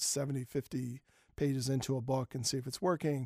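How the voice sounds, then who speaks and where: This man's pitch is fairly high and his pace fairly quick. The recording is very clean with a silent background, the sound dry and close with no echo. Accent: American. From Philadelphia, US. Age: 40s. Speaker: novelist and graphic novel author.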